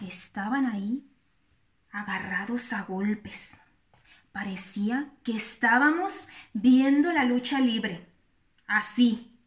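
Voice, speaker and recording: A woman talks at a very slow pace, with long, frequent pauses between her words. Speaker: storyteller. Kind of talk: casual vlog chat. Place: kitchen. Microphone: phone near.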